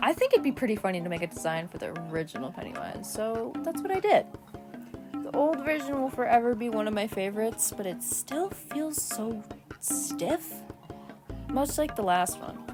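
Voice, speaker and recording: A woman speaks at a moderate pace in a fairly high voice with very wide pitch swings, with music playing in the background. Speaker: digital artist. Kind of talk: casual voice-over for speedpaint video. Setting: home recording on tablet, low-quality mic. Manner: slightly slurred, late-night.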